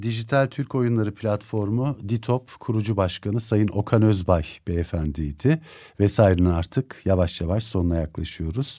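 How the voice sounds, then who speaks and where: Against a quiet background, a man with a dark, mellow tone and fairly low pitch talks at a fairly slow pace with lively intonation. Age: 50s. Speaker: radio host. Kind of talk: radio interview. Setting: radio studio. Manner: formal, polite. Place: studio.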